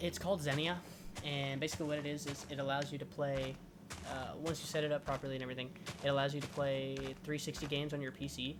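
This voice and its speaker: Over noticeable background noise and audible room echo, a man talks at a very fast pace and a fairly high pitch with fairly even intonation. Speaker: gaming YouTuber. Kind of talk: casual gameplay commentary. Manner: rambling, halting.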